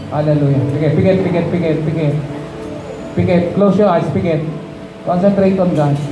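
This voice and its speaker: With music in the background, a man with a high pitch speaks at a fairly quick pace, broken by long, frequent pauses. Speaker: pastor. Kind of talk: sermon with altar call, preaching then leading a prayer. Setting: church with congregation. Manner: animated, emphatic, repeating phrases, call-and-response with the congregation; coaxing and warm when inviting people forward. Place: church. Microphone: handheld.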